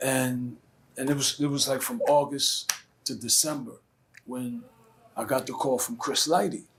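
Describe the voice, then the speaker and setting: In a Brooklyn accent, a man with a fairly high pitch speaks at a moderate pace with ordinary pitch variation. Long, frequent pauses break up his speech. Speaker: rapper. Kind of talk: interview answer.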